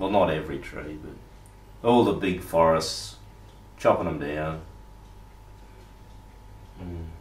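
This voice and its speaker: With long, frequent pauses at a very slow pace, a man with a very deep, low pitch uses lively intonation and big swings in loudness, with audible room echo. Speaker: interviewer. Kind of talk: casual conversation. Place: home room.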